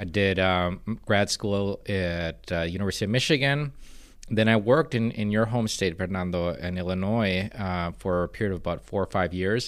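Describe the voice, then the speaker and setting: Here is an unremarkable speaking voice, a man's at fairly low pitch with ordinary pitch variation. He talks at a moderate pace on a very clean recording with a silent background. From Minnesota, partly raised in Guatemala. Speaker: arts nonprofit director. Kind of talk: podcast interview.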